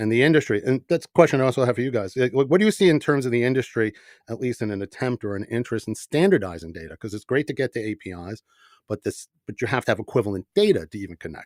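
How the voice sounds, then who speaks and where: A man with a New York accent speaks at a very fast pace and medium pitch, with lively intonation and big swings in loudness. The recording is very clean, with a silent background and a dry, close sound with no echo. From New York, the Bronx. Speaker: company CEO, podcast host. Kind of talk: panel podcast discussion.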